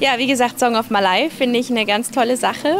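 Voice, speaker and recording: Against noticeable background noise, a woman talks at a fairly quick pace in a fairly high pitch with ordinary pitch variation, the sound dry with no echo. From Switzerland, Basel area; Switzerland. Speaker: guest. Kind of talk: casual interview. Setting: livestream from a living room. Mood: cheerful, pleased. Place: garden.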